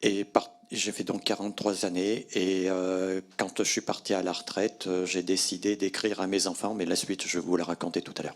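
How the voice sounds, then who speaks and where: Here a man talks in a very deep, low voice at a moderate pace. His intonation is monotone and flat, with hardly any pauses. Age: 60s. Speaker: retired factory worker. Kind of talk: testimony.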